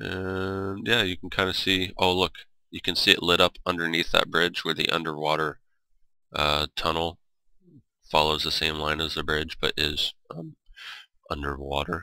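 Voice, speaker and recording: A man's very deep, low voice, bright and sharp in tone, at a moderate pace with fairly even intonation and long, frequent pauses, on a very clean recording with a silent background. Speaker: gaming video creator. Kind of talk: gameplay tour commentary. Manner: casual, rambling with fillers.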